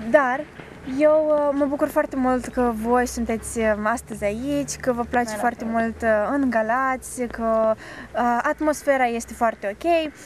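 A woman speaks at a high pitch with fairly even intonation and a fairly slow pace. The sound is dry with no echo, over light background noise. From Moldova. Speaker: student TV show host. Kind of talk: TV interview. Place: garden.

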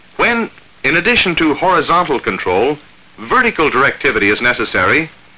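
A man's high-pitched voice at a moderate pace, with very wide pitch swings. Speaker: film narrator. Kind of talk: 1947 military training film narration, scripted. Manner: formal, measured, authoritative; clipped, even, crisply enunciated. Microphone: old recording.

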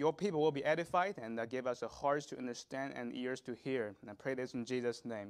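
Fairly quick speech from a man with ordinary pitch variation over a quiet background. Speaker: lay preacher. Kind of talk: sermon. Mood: solemn, then prayerful. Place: church. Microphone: lapel.

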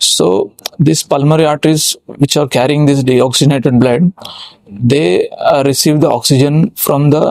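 In a dry sound with no echo and a quiet background, a man speaks at a moderate pace with ordinary pitch variation. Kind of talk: medical explainer lecture. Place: studio. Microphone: lapel.

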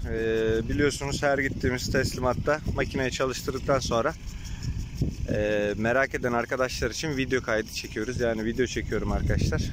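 The sound is dry, with no echo, though background noise is noticeable. A man talks at a moderate pace. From Turkey, Afyon province; Turkey. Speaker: generator seller. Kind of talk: product demonstration vlog. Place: farm machine. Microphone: phone near.

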